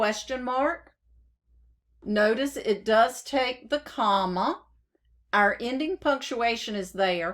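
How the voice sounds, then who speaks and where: In a very clean recording with a silent background, a woman with a Southern US accent speaks very slowly at a fairly high pitch, her intonation lively. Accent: southern drawl. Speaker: software trainer. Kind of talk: tutorial. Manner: dictating with spoken punctuation.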